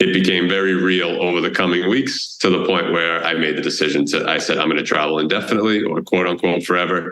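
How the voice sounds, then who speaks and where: With a Boston accent, a man talks fairly quickly at a very deep, low pitch, his intonation fairly even and his loudness very even, amid audible room echo. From Boston area, US. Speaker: travel blogger and tour founder. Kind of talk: podcast interview.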